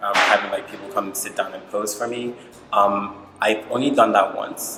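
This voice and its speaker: Backed by music, the speech proceeds at a moderate pace. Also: man. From Nigeria, Lagos. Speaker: visual artist. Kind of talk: interview. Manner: casual, many fillers.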